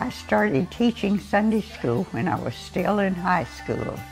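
A woman speaks over faint music in the background. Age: 80s+. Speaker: scripture reader. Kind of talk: personal introduction to congregation. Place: home room. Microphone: lapel.

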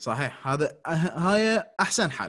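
A man's high-pitched voice over a quiet background. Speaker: dental lecturer. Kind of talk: lecture.

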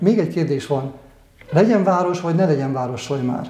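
A man talks at a fairly quick pace with a fairly high pitch and a dark, mellow tone. His pitch varies in an ordinary way, and audible room echo fills the space. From eastern Hungary. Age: 60s. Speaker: local council candidate, retired engineer; council candidate. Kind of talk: candidate interview. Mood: calm, thoughtful. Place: home room. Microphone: lapel.

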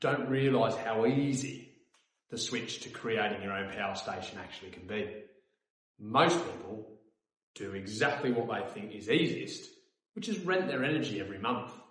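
At a moderate pace and medium pitch, a man speaks with lively intonation and big swings in loudness, with audible room echo. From Australia. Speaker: company co-founder. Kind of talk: sales pitch. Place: office.

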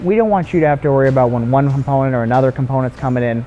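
A man talking at a very fast pace over background music. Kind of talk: interview answer. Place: factory. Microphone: lapel.

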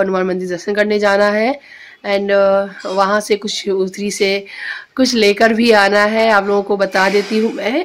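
The delivery is monotone and flat, at a fairly slow pace. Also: woman. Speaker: home vlogger. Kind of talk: casual vlog chat. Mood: cheerful, chatty. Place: home room. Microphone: phone near.

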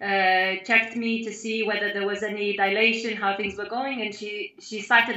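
Audible room echo surrounds a woman with a fairly high voice who speaks at a moderate pace with fairly even intonation. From Lithuania. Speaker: mother sharing birth story; interviewee. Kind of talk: testimony. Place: home room. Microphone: video call.

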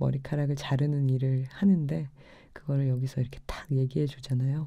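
A very deep, low female voice with a dark, mellow tone against a quiet background. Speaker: radio DJ and musician; radio DJ. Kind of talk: late-night radio show. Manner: stumbling over words. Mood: warm, admiring, calm. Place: home room.

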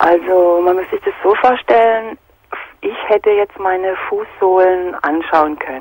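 A woman at a fairly slow pace with ordinary pitch variation, dry sound with no echo and a quiet background. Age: 40s. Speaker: caller; radio caller. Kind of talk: phone call. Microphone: phone line.

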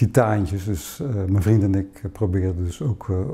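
A man with a fairly low, dark, mellow tone that is somewhat breathy speaks at a fairly slow pace with ordinary pitch variation. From Zeeuws-Vlaanderen, Netherlands; Netherlands. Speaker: poet. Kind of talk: interview. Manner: halting, many hesitations. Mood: reflective, calm. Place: home room.

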